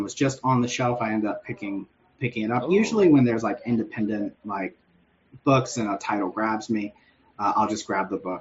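An unremarkable speaking voice: a man with an American accent talks at a fairly quick pace, medium in pitch, with ordinary pitch variation. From US South, Northeast Georgia. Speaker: comic book creator. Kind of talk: casual interview.

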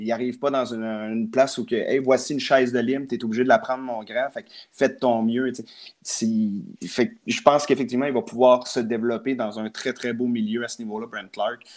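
Speaking fairly quickly with a Quebec accent, a man keeps a medium pitch and monotone, flat intonation. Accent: Québécois French. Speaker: hockey card collector and hobby shop figure. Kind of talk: casual chat.

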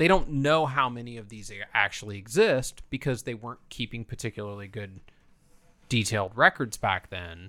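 With a Midwestern American accent and a bright, sharp tone, a man speaks at a moderate pace with big swings in loudness on a very clean recording with a silent background. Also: medium pitch for a man, lively intonation. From northern Indiana, near Fort Wayne. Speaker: comic book dealer. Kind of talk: casual chat. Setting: home basement studio.

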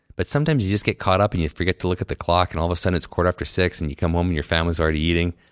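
With a Canadian accent and a very deep, low pitch, a man speaks at a very fast pace with hardly any pauses and ordinary pitch variation, recorded very cleanly against a silent background in a dry, close sound with no echo. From Canada, Winnipeg. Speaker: orthodontist. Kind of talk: casual chat. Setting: conference venue.

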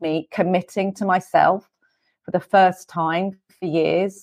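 In a British accent, a woman of medium pitch speaks with flat, monotone intonation, and the sound is dry and close with no echo. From England. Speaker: hypnotherapist and former teacher. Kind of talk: casual interview.

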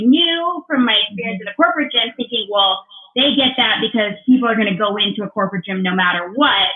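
Very fast speech over noticeable background noise. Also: woman. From US West, Southern California. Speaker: entrepreneur and community builder. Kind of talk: interview conversation.

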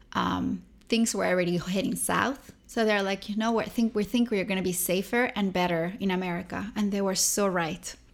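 Someone with a Spanish accent and vocal fry speaks at a moderate pace. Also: woman, medium pitch for a woman. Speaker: cookbook author and model. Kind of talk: interview. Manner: animated.

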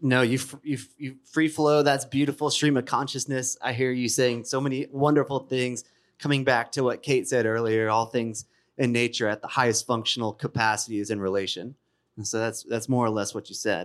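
In a normal speaking voice, a man talks at a fairly quick pace with a medium pitch and fairly even intonation. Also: very clean recording, silent background. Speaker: podcast host and panel moderator. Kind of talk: scripted narration. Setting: stage with audience.

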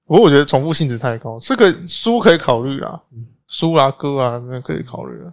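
Speaking at a fairly quick pace in an animated tone, a man with a fairly high pitch uses lively intonation and big swings in loudness, on a very clean recording with a silent background. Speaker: podcast co-host. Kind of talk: casual chat. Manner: animated, frequent laughter.

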